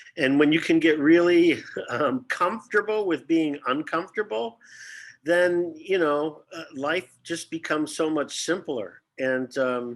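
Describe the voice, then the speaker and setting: An unremarkable speaking voice, this man has an American accent and a fairly high pitch with ordinary pitch variation. He speaks at a fairly slow pace on a very clean recording with a silent background. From Detroit, US Midwest. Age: 60s. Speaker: actor. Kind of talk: casual chat.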